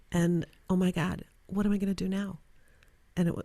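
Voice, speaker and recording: Recorded very cleanly with a silent background, a woman speaks at a moderate pace in a fairly low voice. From Chicago suburbs, Illinois. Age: 60s. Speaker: career coach and non-profit founder. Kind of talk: interview. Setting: studio.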